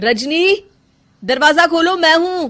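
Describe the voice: In a cartoonish character voice, a woman talks slowly at an extremely high pitch with lively intonation. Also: fairly bright tone.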